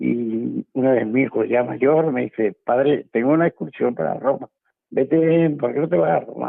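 With lively intonation, the voice keeps a moderate pace. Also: man, medium pitch for a man. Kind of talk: radio interview testimony. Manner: cheerful, often smiling.

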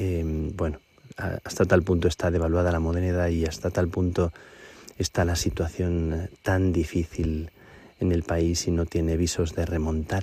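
Speaking at a fairly slow pace, the man has a very deep, low pitch, a dark, mellow tone and monotone, flat intonation. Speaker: priest. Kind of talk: radio report. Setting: outdoors at night on a mountain.

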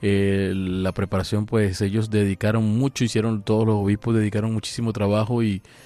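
Over music in the background, a man speaks fairly quickly in a fairly low pitch, with monotone, flat intonation and very even loudness. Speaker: priest. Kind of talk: radio interview. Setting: studio.

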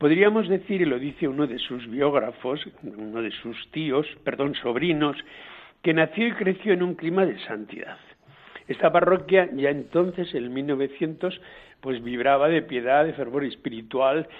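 A man with a plain, everyday voice, fairly high in pitch, lively intonation at a fairly slow pace. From Spain, Guadalajara province. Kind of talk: storytelling biography.

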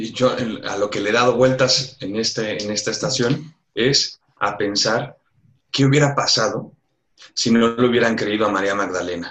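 Here is a man with a plain, everyday voice at a medium pitch. He talks at a moderate pace with ordinary pitch variation. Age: 30s. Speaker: religious novice. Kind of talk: interview. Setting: phone call.

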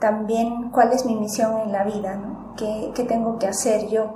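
Monotone, flat intonation comes through audible room echo and noticeable background noise. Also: woman. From Peru. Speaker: missionary worker. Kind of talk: radio interview.

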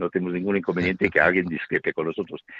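A man with a strong American accent. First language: English (speaking Spanish). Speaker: radio program presenter. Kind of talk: interview. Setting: phone call. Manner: halting.

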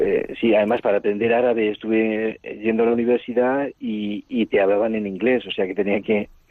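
A man at a medium pitch and a moderate pace, with monotone, flat intonation. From Spain, Castilla-La Mancha. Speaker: Carmelite priest, former missionary. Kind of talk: interview. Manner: halting.

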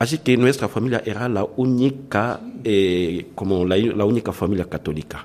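Here a man speaks at a medium pitch. His pace is moderate and his pitch variation ordinary. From Democratic Republic of the Congo. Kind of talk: interview testimony. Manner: halting.

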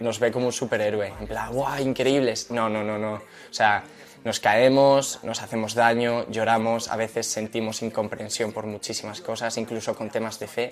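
Speaking at a moderate pace, a man with a medium pitch has an unremarkable speaking voice and fairly even intonation. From Madrid, Spain. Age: 20s. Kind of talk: interview testimony.

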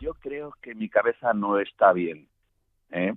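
A man at a medium pitch, speaking at a very slow pace. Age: 70s. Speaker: circus performer and artist. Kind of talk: interview.

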